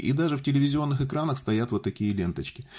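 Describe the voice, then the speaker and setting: Somewhat breathy, a man with a medium pitch and a dark, mellow tone talks at a fairly quick pace. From Russian Far East, Vladivostok; Russia. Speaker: electronics DIY video maker; electronics hobbyist demonstrating. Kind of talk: tutorial. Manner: jokey, informal. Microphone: phone near.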